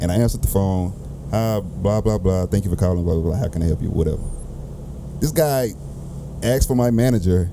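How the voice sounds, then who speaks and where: Noticeable background noise beneath a man's speech. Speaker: podcast host. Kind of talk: casual chat.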